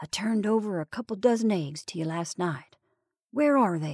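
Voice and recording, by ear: A woman performs a put-on character voice at a moderate pace and medium pitch with lively intonation, in a dry, close recording with no echo.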